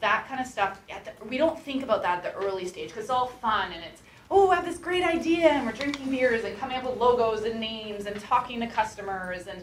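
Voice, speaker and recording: Delivered at a fairly quick pace with hardly any pauses, the voice has lively intonation and big swings in loudness, with noticeable background noise and audible room echo. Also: woman, fairly high pitch for a woman. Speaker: startup talk speaker from a coding school. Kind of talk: talk to a class with Q&A. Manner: fast.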